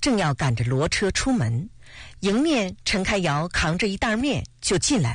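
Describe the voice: Someone does plain reading aloud here.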